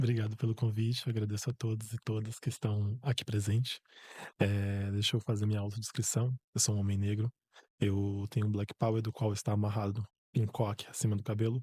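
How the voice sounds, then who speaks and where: In a fairly low, somewhat breathy voice with a dark, mellow tone, a man talks at a fairly quick pace with monotone, flat intonation and very even loudness, recorded very cleanly against a silent background with a dry, close sound and no echo. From Bahia, Brazil. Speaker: environmental engineer, professor, poet. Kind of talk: podcast interview.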